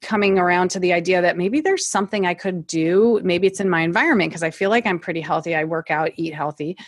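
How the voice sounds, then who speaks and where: Speaking at a fairly quick pace with a Midwestern US accent, a woman uses a fairly low pitch and ordinary pitch variation. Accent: US Midwest. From Ohio, US Midwest. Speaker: natural oral care business owner, former nurse. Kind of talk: interview.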